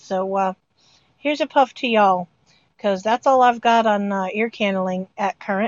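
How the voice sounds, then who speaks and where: With an American accent, a woman has an unremarkable speaking voice. She talks at a moderate pace with ordinary pitch variation. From northern US. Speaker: podcast co-host. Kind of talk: casual chat.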